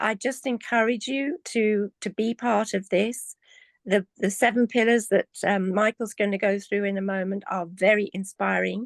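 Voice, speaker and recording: Against a quiet background, a woman with an English accent talks at a fairly slow pace in a medium pitch. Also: dry, close sound with no echo. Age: 70s. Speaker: community member. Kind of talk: testimony. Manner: halting.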